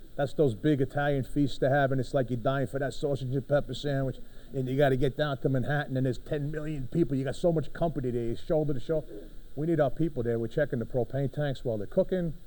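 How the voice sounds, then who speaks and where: Speaking at a very fast pace, a man with a Brooklyn accent has a fairly high pitch and a dark, mellow tone. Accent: New York (Brooklyn). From New York City, Brooklyn. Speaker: fire department official. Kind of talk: conference presentation. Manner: animated, conversational.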